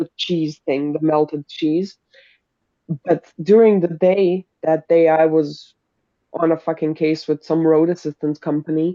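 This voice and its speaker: A German accent at a fairly slow pace. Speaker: live stream co-host. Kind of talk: casual chat. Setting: live video stream. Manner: animated.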